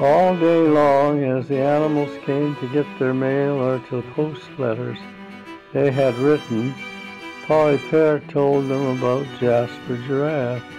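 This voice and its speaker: Over music in the background, a man talks at a fairly slow pace with a fairly high pitch for a man and fairly even intonation. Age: 80s+. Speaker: great-grandfather. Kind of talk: children's story read-aloud. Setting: home recording.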